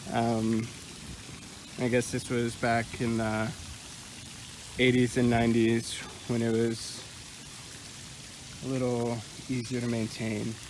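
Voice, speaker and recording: A man talks at a medium pitch in a monotone, flat way, with noticeable background noise. His pace is very slow, broken by long, frequent pauses. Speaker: counseling student. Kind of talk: casual vlog tour narration. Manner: hesitant; quiet.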